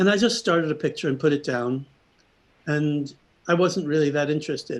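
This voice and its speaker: A man with an American accent speaks with an unremarkable speaking voice, fairly high in pitch. His pace is fairly quick with ordinary pitch variation, over a quiet background. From New York. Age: 60s. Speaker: artist. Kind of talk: presentation.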